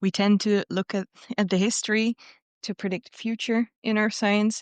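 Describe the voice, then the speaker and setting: Against a quiet background, a woman with a Dutch accent speaks at a fairly quick pace with fairly even intonation, the sound dry and close with no echo. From Netherlands. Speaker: podcast co-host, science communicator. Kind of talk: casual chat.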